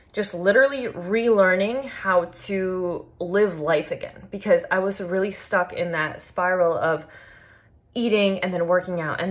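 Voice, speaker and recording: Her intonation is fairly even as the woman talks at a medium pitch. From Long Island, New York, US. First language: Polish. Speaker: fitness coach. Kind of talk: personal story vlog. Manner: casual, many fillers.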